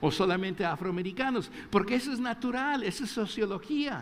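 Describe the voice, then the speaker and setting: Speaking at a moderate pace, a man varies his pitch in an ordinary way. Audible echo from the room hangs around his words. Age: 60s. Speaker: pastor. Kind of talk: sermon. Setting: church.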